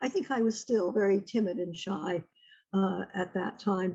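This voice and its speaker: Somewhat breathy speech with a Northeastern US accent. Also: woman. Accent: American, Northeast. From upstate New York. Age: 80s+. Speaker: retired literature teacher. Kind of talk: oral history interview. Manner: halting.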